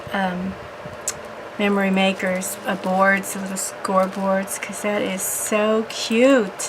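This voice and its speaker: A woman speaks at a fairly slow pace in a monotone, flat intonation, with audible room echo and noticeable background noise. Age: 60s. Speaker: crafting video blogger. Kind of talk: casual unboxing vlog.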